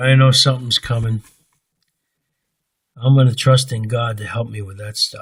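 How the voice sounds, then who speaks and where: A man speaks at a moderate pace in a medium pitch, somewhat breathy and with monotone, flat intonation. His loudness swings widely, and he takes long, frequent pauses. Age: 70s. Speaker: religious vlogger. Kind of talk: personal monologue. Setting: recording alone at home late at night. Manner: halting.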